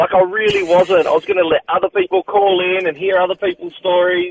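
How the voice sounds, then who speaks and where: Fairly quick and fairly even in intonation, this man speaks with an Australian accent. His pitch is high. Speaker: caller. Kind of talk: casual chat. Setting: phone call.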